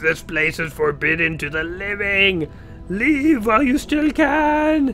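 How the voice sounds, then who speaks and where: Putting on a character voice, a man speaks at a fairly slow pace in a high pitch with very wide pitch swings, over clear background noise. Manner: menacing, warning.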